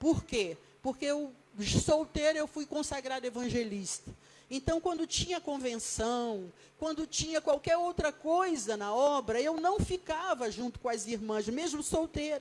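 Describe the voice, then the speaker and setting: In a Rio de Janeiro accent, a woman with a high pitch and lively intonation talks at a fairly slow pace over noticeable background noise. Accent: Rio de Janeiro (carioca). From Brazil, Rio de Janeiro. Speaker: pastor. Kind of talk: sermon.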